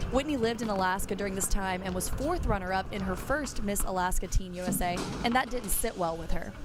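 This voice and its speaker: Music plays in the background as a woman talks very fast. Her pitch is medium, with ordinary variation. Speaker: sports reporter. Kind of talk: sports feature narration.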